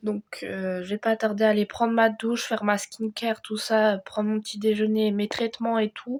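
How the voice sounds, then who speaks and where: Moderate pacing from a woman with a fairly high pitch. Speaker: lifestyle vlogger. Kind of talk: casual vlog talk to camera. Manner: hesitant, many fillers.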